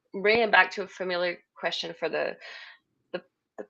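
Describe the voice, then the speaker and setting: In a French accent, a woman talks at a fairly quick pace against a quiet background. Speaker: podcast host, UX designer. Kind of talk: live podcast interview.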